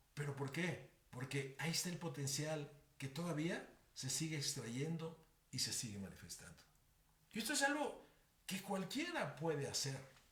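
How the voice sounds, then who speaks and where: The speech moves at a moderate pace with long, frequent pauses. Room echo is audible throughout. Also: man, fairly high pitch for a man, ordinary pitch variation. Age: 70s. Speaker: podcast host and Bible teacher. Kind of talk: motivational teaching talk.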